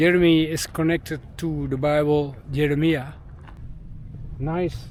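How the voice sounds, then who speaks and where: Amid noticeable background noise, a man with a Dutch accent speaks very slowly at a fairly high pitch in a flat monotone. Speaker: travel vlogger. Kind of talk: casual vlog narration. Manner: halting.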